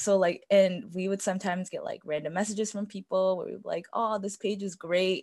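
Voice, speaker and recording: A woman at a fairly quick pace with hardly any pauses, monotone and flat in intonation, on a very clean recording with a silent background. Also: medium pitch for a woman. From US, Tibetan family. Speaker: podcast guest. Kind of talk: casual chat.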